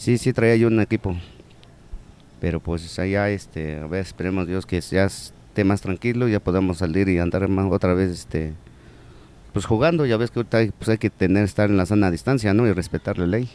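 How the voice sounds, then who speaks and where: A man's very deep, low voice, dark and mellow, at a fairly quick pace with ordinary pitch variation in a dry, close sound with no echo. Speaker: corner shop owner and basketball coach. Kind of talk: interview. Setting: in his shop.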